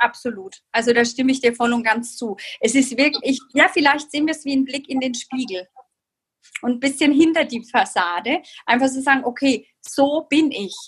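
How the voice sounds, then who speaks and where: Here a woman speaks at a moderate pace. Her pitch is high. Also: ordinary pitch variation. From Franconia, Germany (Bamberg). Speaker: numerology consultant. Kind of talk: interview.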